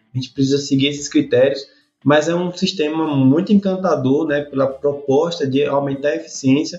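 At a moderate pace and with fairly even intonation, this is a plain, everyday voice. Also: man, fairly high pitch for a man. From Sergipe, Brazil. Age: 30s. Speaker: irrigation professor. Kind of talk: interview.

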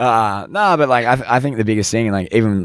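The speaker is a man with an Australian accent. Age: 20s. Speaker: business founder. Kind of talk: interview. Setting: podcast van.

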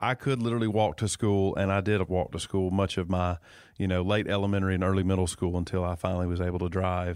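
On a very clean recording with a silent background, a man with a Georgia accent talks very fast, his loudness very even and his intonation fairly even. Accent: Southern American (Georgia). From US South, north Georgia (Dawsonville). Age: 40s. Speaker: state politician. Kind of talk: casual interview. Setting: high school music studio.

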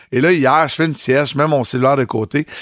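A plain, everyday voice from a man, medium-pitched with ordinary pitch variation, at a fairly quick pace. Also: very clean recording, silent background. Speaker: morning radio host. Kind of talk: casual chat.

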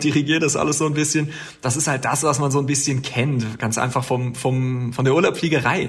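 A man talks with ordinary pitch variation, with noticeable background noise and audible echo in the room. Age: 30s. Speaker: air traffic controller. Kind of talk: interview.

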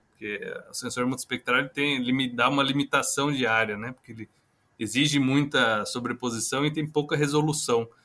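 With a bright, sharp tone and medium pitch, a man talks at a moderate pace, his intonation fairly even and his loudness swinging widely. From Brazil, interior of São Paulo (Itapeva). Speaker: engineer and startup founder. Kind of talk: interview. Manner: hesitant, many fillers.

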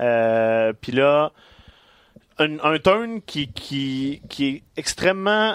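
With a Quebec accent, a man speaks in a fairly high pitch with very wide pitch swings. He goes very slowly with long, frequent pauses, in a dry, close sound with no echo. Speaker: wrestling podcast co-host. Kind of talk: casual chat.

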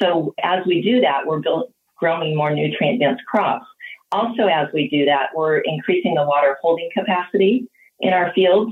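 An unremarkable speaking voice from a woman with an American accent, fairly low in pitch, lively in intonation, very even in loudness, at a moderate pace. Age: 50s. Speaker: dairy farmer. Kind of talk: interview.

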